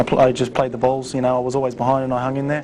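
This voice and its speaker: A medium-pitched man at a very fast pace, with monotone, flat intonation and noticeable background noise. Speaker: pool player. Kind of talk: casual studio analysis.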